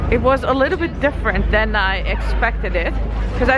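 Crowd noise fills the background as a woman talks at a moderate pace. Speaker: travel vlogger. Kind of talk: casual vlog chat. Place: waterside. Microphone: phone near.

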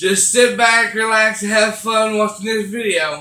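A man's raised, projected voice comes at a very slow pace, with audible room echo over a quiet background. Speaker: vlogger. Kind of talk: casual vlog chat. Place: home room. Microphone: webcam.

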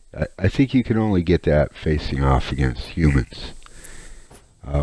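Lively intonation colors a man's very deep, low voice at a moderate pace. Noticeable background noise is present. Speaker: gaming YouTuber. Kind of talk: gameplay commentary voiceover. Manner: halting, many fillers and repeats.

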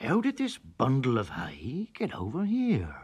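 A put-on character voice in a low-to-middle pitch moves along at a moderate pace. The recording is very clean and the background silent. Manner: muttering.

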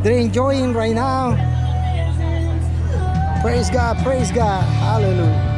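The speech moves at a very slow pace over loud music in the background. The sound is dry, with no echo. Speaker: street preacher. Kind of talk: casual street preaching talk, praise exclamations. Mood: joyful, praising. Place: beach.

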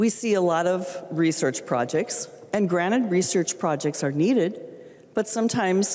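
With an American accent and lively intonation, a woman talks at a moderate pace. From Minnesota. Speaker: state legislator. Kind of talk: legislative floor speech; floor debate speech. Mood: earnest, emotional, frustrated. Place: hall. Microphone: handheld.

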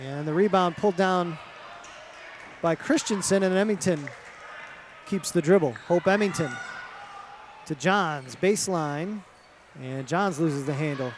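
A man talks at a fairly slow pace. The sound is dry with no echo, and there is light background noise. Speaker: play-by-play announcer. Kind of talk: sports commentary. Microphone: headset.

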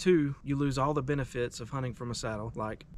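A man at a fairly quick pace with fairly even intonation, a dry sound with no echo, and light background noise. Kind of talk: tutorial. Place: forest.

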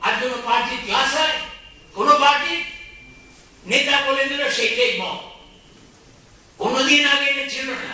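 Strong room echo carries a man's raised, projected voice. His pitch is extremely high with ordinary variation. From West Bengal, India. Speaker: politician and lawyer. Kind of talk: public speech. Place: hall. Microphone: pa.

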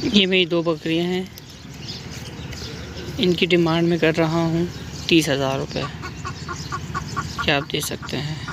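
The sound is dry, with no echo, though background noise is noticeable. The pace is fairly slow. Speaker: goat seller. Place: street. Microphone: phone near.

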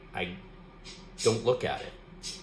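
A man talks at a fairly slow pace. Room echo is audible, along with light background noise. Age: 50s. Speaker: art YouTuber. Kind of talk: casual talk to camera. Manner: relaxed, hesitant with fillers. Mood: calm, reflective, upbeat. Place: home room. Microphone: phone near.

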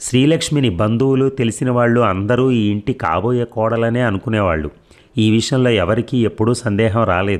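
With an ordinary speaking voice, a man talks at medium pitch with ordinary pitch variation and very even loudness. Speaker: audiobook narrator. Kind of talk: reading aloud.

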